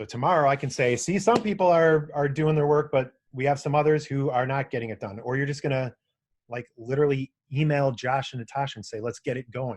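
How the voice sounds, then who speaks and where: Somewhat breathy, fairly high-pitched male voice at a fairly quick pace against a quiet background. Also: ordinary pitch variation. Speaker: webinar presenter. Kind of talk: webinar tutorial. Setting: online webinar. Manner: fast; casual.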